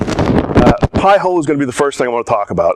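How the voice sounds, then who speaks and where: Over noticeable background noise, a man speaks at a fairly quick pace in a dry, close sound with no echo. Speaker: conference speaker, hobbyist hacker. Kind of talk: conference talk. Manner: fast; halting, many fillers.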